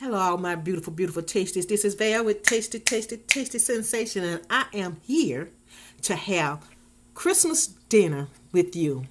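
A voice with lively intonation at a moderate pace, over light background noise. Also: woman. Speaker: food vlogger. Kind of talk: casual vlog chat. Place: home room. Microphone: webcam.

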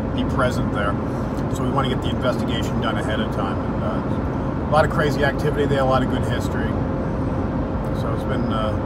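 Through loud background noise, a man speaks at a very fast pace. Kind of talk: casual vlog chat. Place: car. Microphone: phone near.

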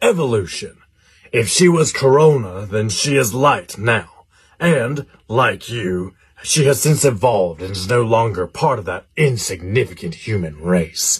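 A man's medium-pitched voice at a moderate pace. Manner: preachy, solemn.

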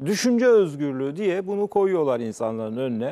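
Moving at a moderate pace, the voice swings very widely in pitch. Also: man. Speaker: TV debate host. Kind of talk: commentary. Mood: indignant, emphatic. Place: studio. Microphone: lapel.

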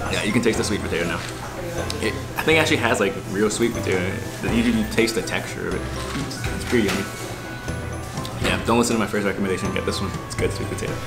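Over loud background music, a man speaks at a very fast pace with ordinary pitch variation. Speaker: travel vlogger. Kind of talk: casual vlog chat. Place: cafe. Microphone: camera far.

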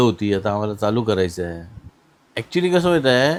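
A man with an ordinary speaking voice talks at a fairly low pitch. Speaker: farm machinery business owner. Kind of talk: interview.

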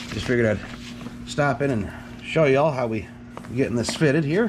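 Ordinary pitch variation at a moderate pace, over noticeable background noise. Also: man. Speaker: home mechanic. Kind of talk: casual talk to camera. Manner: relaxed, halting with fillers.

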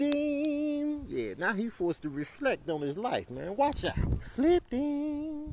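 Putting on a character voice, a man speaks at a fairly slow pace with hardly any pauses and an extremely high pitch, over clear background noise. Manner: cocky, hyped, gloating.

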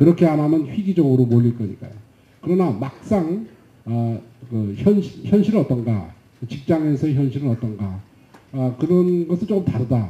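A man with a fairly high pitch and a dark, mellow tone speaks at a moderate pace, somewhat breathy, with very wide pitch swings. Long, frequent pauses break up his speech, and there is audible room echo. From South Korea. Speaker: professor and session moderator; professor, session moderator. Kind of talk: panel moderation. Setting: conference stage with audience. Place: hall. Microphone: handheld.

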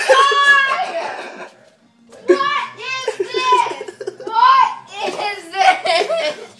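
In a raised, projected voice, a woman speaks at a very slow pace. Her pitch is extremely high. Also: lively intonation. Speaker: sister coming home from work. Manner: loud, exclaiming. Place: home room. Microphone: phone near.

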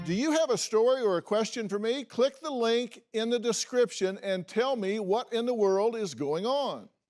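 The speech moves at a moderate pace with ordinary pitch variation. Music sits in the background. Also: man, high pitch for a man. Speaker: talk show host. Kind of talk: TV host segment intro and promo. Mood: serious, grave teaser. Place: studio. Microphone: lapel.

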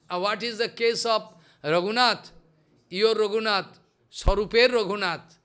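Projecting his raised voice over a quiet background, a man speaks fairly slowly with a high pitch, a bright, sharp tone and fairly even intonation. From India. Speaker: spiritual teacher. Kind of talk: religious discourse. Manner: repetitive. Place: home room. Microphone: studio mic.

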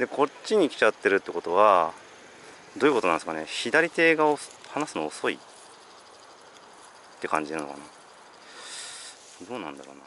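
Talking at a very fast pace, a man with a fairly low pitch makes very wide pitch swings and big swings in loudness, the sound dry with no echo and light background noise behind him. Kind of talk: casual vlog chat. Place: waterside. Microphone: phone near.

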